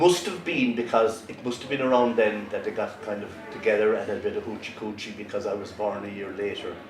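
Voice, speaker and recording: A man with a Cork accent talks fairly quickly at a medium pitch. Audible room echo and noticeable background noise surround him. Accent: Cork Irish. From Ireland, West Cork. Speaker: traditional storyteller. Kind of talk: storytelling.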